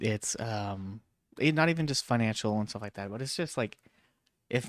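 The recording is very clean, with a silent background. A man speaks at a moderate pace in an ordinary speaking voice, pitched fairly low. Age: 30s. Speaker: podcast co-host. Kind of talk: casual chat.

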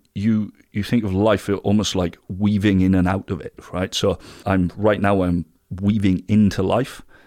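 A man's fairly low voice with a British accent, at a fairly slow pace, on a very clean recording with a silent background. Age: 30s. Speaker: alternative health business founder. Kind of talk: interview. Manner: halting.

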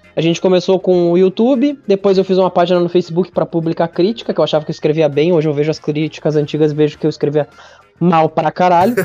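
Over music in the background, a man with a high pitch talks very fast at a very even loudness, the sound dry and close with no echo. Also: ordinary pitch variation. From interior of Rio Grande do Sul, Brazil. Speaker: meme page founder and film commentator. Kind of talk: casual chat.

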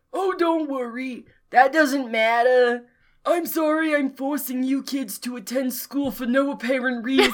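The speaker uses a put-on character voice at a high pitch. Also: moderate pace. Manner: tired, sarcastic.

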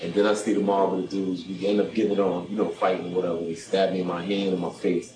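Over music in the background, a man with a New York accent talks at a very fast pace. His very deep, low voice stays monotone and flat. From Brooklyn, New York. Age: 40s. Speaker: guest, former prisoner. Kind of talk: testimony.

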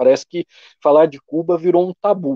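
At a moderate pace, a man speaks in a dark, mellow tone with a dry, close sound and no echo. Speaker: livestream host. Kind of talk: casual political discussion on a livestream. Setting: live video stream.

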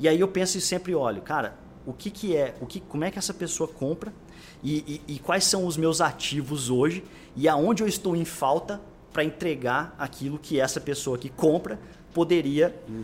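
A man with a normal speaking voice talks at a moderate pace, his pitch varying in an ordinary way. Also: fairly high pitch for a man. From Brazil, Franca (São Paulo state interior). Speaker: growth marketing executive. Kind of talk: casual interview chat.

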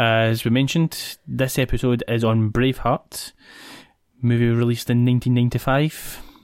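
With a Scottish accent, a man talks at a moderate pace and medium pitch, the sound dry and close with no echo on a very clean recording with a silent background. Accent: Scottish (Ayrshire). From Scotland, Ayrshire. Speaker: podcast host. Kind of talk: casual chat. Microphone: new podcast mic.

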